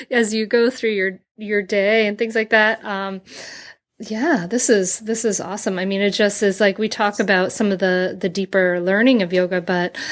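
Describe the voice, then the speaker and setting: Delivered in an enthusiastic tone at a moderate pace, the voice carries a Rhode Island accent on a very clean recording with a silent background. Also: woman, medium pitch for a woman. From Rhode Island (Bristol). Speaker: podcast host. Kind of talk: interview.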